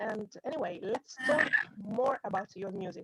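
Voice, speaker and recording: Somewhat breathy, a woman with an Italian accent speaks at a fairly slow pace with ordinary pitch variation, in a dry, close sound with no echo. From Italy. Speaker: music journalist. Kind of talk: interview. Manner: halting. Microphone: laggy connection.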